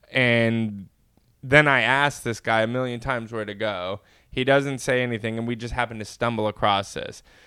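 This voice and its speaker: A man speaks at a moderate pace with medium pitch and a bright, sharp tone. His intonation is fairly even, on a very clean recording with a silent background. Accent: American. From California, Inland Empire. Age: young. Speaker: podcast co-host. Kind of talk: casual chat.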